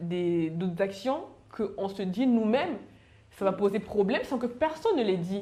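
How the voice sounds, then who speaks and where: A woman's medium-pitched voice with ordinary pitch variation, in audible room echo. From Cameroon. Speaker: panelist sharing work experience. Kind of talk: panel discussion. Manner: fast.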